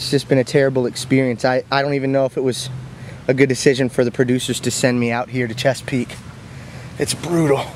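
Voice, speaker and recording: Light background noise accompanies a dry sound with no echo. A man speaks at a moderate pace with fairly even intonation. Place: forest. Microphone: phone near.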